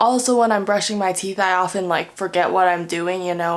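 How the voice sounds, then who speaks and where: Quiet speech at a moderate pace with ordinary pitch variation. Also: woman. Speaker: lifestyle vlogger. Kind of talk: casual vlog narration. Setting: at home at night, others sleeping. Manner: casual.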